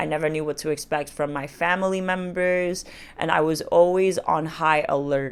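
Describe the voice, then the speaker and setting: A woman speaks in a very deep, low pitch with a non-native accent. Her pace is moderate and her intonation fairly even. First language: not English. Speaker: dating and self-help vlogger. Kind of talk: personal vlog monologue. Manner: casual, filler-heavy.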